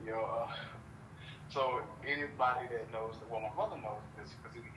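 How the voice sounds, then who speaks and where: There is audible room echo around a man speaking at a moderate pace. His pitch is medium and his intonation fairly even. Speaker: podcast host. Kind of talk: casual chat.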